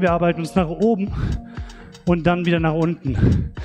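Music plays faintly behind the voice. A man keeps a moderate speed. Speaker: fitness instructor. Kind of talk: workout instruction. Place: gym.

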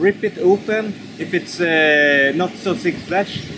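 Noticeable background noise runs through the clip. Over it, a man speaks at a high pitch. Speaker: travel vlogger. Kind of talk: tutorial. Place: waterside.

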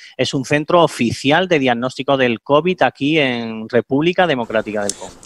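A man speaks at a moderate pace with a fairly high pitch and ordinary pitch variation in an unremarkable speaking voice. The sound is dry with no echo over a quiet background. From Andalusia, Spain. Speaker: veterinarian. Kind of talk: interview answer. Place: home room. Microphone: headset.

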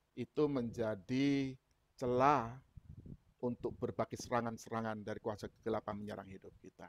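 A man talks at a moderate pace with fairly even intonation and big swings in loudness, in a dry recording with no echo and light background noise. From Indonesia. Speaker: preacher. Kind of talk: sermon. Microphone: earbuds.

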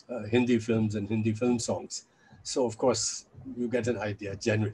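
A somewhat breathy man talks at a moderate pace with light background noise. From India. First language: Chinese. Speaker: scholar and anti-nuclear activist. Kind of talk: interview. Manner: halting. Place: home room. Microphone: webcam.

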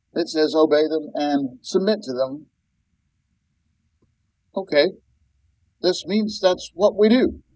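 The man's delivery comes at a fairly slow pace. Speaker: Bible teacher. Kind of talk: lecture. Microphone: webcam.

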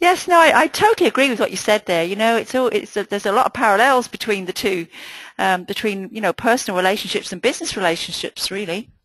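The woman's delivery is very fast with lively intonation, and the sound is dry with no echo. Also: quiet background. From Ireland. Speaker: business trainer and webinar host; business trainer, webinar host. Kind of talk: webinar. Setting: online webinar. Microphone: video call.

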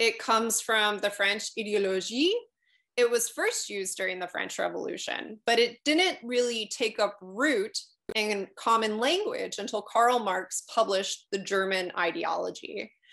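A speaker with an American accent talks at a fairly slow pace in a bright, sharp tone, with ordinary pitch variation and a quiet background. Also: woman, fairly high pitch for a woman. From United States. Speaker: political theory professor. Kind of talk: lecture. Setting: video call. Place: home room. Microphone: webcam.

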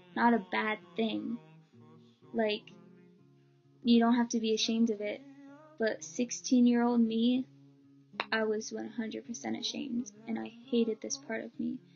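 A woman at a fairly slow pace, with long, frequent pauses and faint music in the background. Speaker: vlogger. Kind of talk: personal story vlog. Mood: earnest, emotional. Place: home room. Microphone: webcam.

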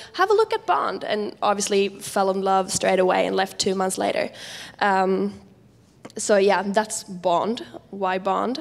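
Speaking with a Swedish accent, a woman talks at a fairly slow pace. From Sweden. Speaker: international student representative; panelist. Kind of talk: panel presentation. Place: hall. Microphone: handheld.

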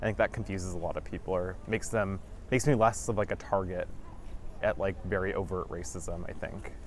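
With a Western Canadian accent, a man talks at a fairly quick pace, the sound dry with no echo and light background noise. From Vancouver, British Columbia, Canada. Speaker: educator. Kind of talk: interview answer. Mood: calm, reflective. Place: beach. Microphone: lapel.

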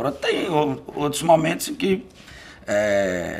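A man talks very slowly, his intonation lively. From Bahia sertão, Brazil (Uauá). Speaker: poet and lawyer. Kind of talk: interview. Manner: hesitant, with many fillers. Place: home room.

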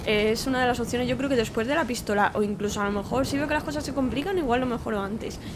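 A woman with a Spanish accent talks at a fairly quick pace in a fairly high voice, with ordinary pitch variation and noticeable background noise. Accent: Peninsular Spanish. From Spain. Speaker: gaming YouTuber. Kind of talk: let's play commentary. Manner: animated. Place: home room. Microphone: studio mic.

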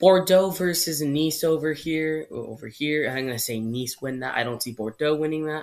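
Fairly quick speech, quiet background. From Canada. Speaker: YouTuber, football predictions; YouTuber. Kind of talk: solo video commentary. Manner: casual, informal. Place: home room. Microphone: webcam.

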